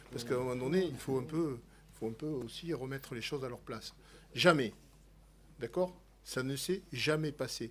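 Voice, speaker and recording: A man with a medium-pitched voice talks at a moderate pace, with ordinary pitch variation, big swings in loudness, and long, frequent pauses. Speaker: sports federation official. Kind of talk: parliamentary hearing testimony.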